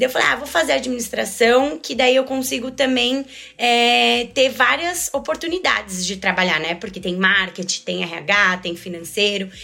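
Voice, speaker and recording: A woman at a fairly high pitch with very wide pitch swings, a moderate pace and hardly any pauses, over noticeable background noise. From Brazil, São Paulo city. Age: 20s. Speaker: finance and HR manager. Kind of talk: casual interview.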